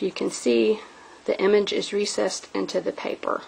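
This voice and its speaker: Background noise is noticeable here. Through it, a woman's voice comes across. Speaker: crafting video maker. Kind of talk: craft show-and-tell tutorial. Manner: casual, many fillers (um).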